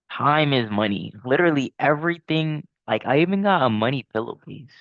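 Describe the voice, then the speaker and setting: A man at a fairly high pitch uses an ordinary speaking voice, with lively intonation and very even loudness. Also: fairly quick pace. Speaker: day trader vlogger. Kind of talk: casual trading vlog. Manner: filler-heavy, repetitive.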